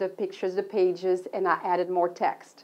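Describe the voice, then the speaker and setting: A woman speaks with a French accent. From Belgium, Brussels. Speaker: author and travel counselor. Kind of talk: book presentation. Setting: local TV studio.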